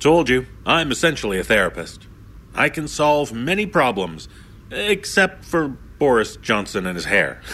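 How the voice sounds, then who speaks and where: Pitch swings very wide as a man talks at a fairly slow pace. His tone is bright and sharp, with vocal fry. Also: medium pitch for a man. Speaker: podcast host. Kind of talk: host introduction, theatrical and welcoming. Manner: warm, theatrical, smooth.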